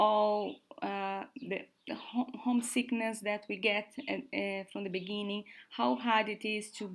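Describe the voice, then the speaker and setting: A woman at medium pitch with a Brazilian accent, at a very slow pace. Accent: non-native, Brazilian-sounding English. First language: Portuguese. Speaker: work and travel support co-host. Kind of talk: casual livestream chat. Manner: slow, halting.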